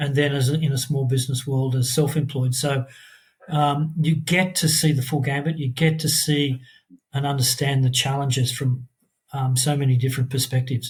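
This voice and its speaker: Somewhat breathy and fairly high-pitched, a man talks at a moderate pace in a flat, monotone delivery. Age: 60s. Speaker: former corporate worker turned small business owner. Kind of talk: podcast interview. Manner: halting, many fillers.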